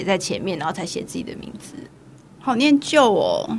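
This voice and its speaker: A woman speaks with vocal fry. Her pace is moderate. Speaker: podcast host. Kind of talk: casual chat.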